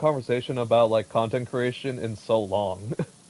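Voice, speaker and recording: Noticeable background noise accompanies a man speaking very fast. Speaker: gaming streamer. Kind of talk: casual chat.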